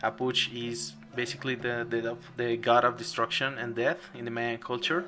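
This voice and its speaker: A man's medium-pitched voice in a non-native accent, bright and sharp in tone, at a fairly slow pace. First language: not English. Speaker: game developer streamer. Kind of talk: live game stream commentary. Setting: live stream. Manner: halting.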